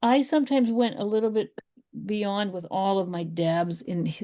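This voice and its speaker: A woman is speaking. Her intonation is lively. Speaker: art teacher. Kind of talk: live painting class. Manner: casual, encouraging.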